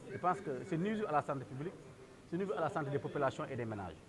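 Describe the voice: A man with a fairly high voice talks very fast. His pitch swings widely up and down.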